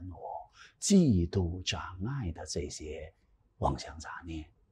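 This man has a very deep, low pitch. His voice is somewhat breathy. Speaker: Buddhist dharma teacher. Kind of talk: sutra lecture. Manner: animated. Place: studio. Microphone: lapel.

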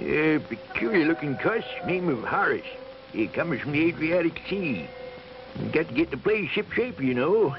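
A gruff, put-on character voice over clear background noise. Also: man. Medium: puppet show. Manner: gruff sailor talk.

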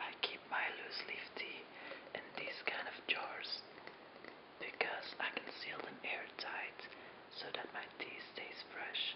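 The speaker whispers at a very slow pace. Long, frequent pauses break up the speech. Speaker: tea video host. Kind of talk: ASMR tea-making video, casual talk to camera. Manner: whispered. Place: home room.

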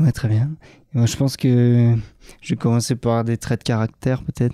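Captured in a very clean recording with a silent background, a man has a dark, mellow tone at a medium pitch. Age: 20s. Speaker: trail runner, world champion. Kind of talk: interview. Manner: halting, many hesitations.

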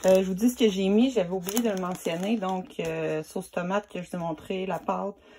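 With a Quebec accent, a woman talks at a fairly quick pace in a dark, mellow tone, hardly pausing, over light background noise. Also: fairly even intonation. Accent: Québécois French. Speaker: home cooking video creator. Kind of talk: cooking tutorial. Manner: casual, with many hesitations. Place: kitchen. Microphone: phone near.

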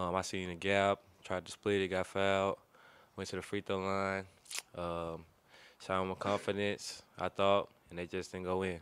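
A man speaks at a fairly slow pace in a very deep, low voice, his intonation monotone and flat, with a dry sound and no echo. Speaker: college basketball player. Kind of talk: press conference. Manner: hesitant, many fillers. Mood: subdued after a close loss. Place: meeting room. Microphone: podium.

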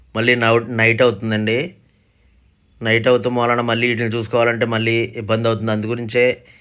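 A man talks at a medium pitch in a monotone, flat delivery. His loudness stays very even over a very clean recording with a silent background. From Andhra Pradesh, near Eluru. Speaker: poultry breeder and craftsman. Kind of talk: sales pitch. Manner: halting.

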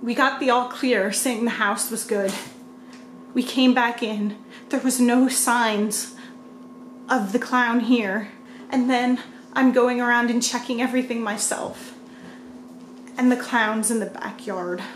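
A high-pitched woman talks fairly slowly in a monotone, flat intonation. Light background noise and audible room echo are present. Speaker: family vlogger. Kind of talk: casual vlog chat. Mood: acted fear, worried. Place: home room. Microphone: phone near.

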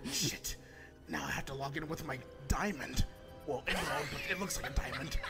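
Loud music plays in the background as a man with a fairly high pitch speaks at a moderate pace. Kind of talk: improvised comic fandub. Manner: frantic, exasperated.

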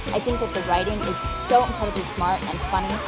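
Over loud music in the background, a woman talks very fast in an American accent. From Michigan, USA. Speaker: actress. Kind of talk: casual talk to camera. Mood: upbeat, enthusiastic. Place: garden.

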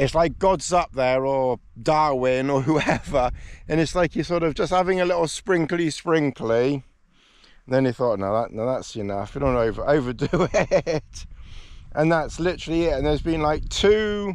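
The sound is dry with no echo as a man talks at a moderate pace over a quiet background. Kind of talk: casual vlog chat. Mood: cheerful, laughing. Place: open country. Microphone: phone near.

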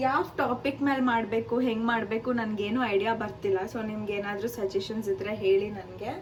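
With noticeable background noise behind her, a woman speaks at a fairly high pitch. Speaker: vlogger, student. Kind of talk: casual vlog talk to camera.

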